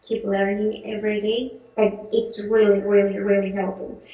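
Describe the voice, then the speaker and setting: Audible room echo surrounds a woman with a Spanish accent. Her fairly high voice stays monotone and flat. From Mexico. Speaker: English learner. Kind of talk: interview. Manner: halting, many fillers.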